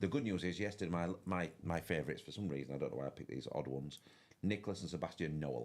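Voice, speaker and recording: A man with a strong Yorkshire accent, very deep, low pitch and vocal fry, talking at a very fast pace with lively intonation. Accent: broad Yorkshire. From West Yorkshire, England. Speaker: fishing tournament commentator. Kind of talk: live commentary. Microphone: too quiet.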